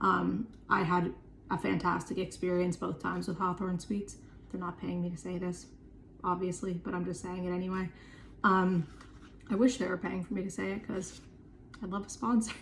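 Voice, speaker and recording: Fairly quick speech from a woman at medium pitch, with vocal fry, fairly even intonation and long, frequent pauses. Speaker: chronic illness vlogger. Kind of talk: casual vlog talk to camera. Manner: fast; filler-heavy, lots of um and like.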